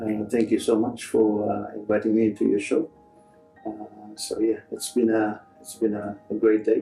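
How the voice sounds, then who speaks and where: A man with a fairly low pitch speaks in a flat monotone, his loudness swinging widely, with music playing in the background. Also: moderate pace. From Fiji. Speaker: rugby union chief executive. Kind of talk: interview answer.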